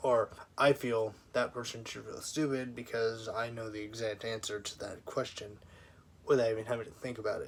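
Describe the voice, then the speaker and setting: With an American accent, a man speaks in a somewhat breathy, flat monotone, his loudness swinging widely. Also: medium pitch for a man, moderate pace. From US military family. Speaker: vlogger. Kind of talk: personal vlog monologue. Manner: quiet; halting.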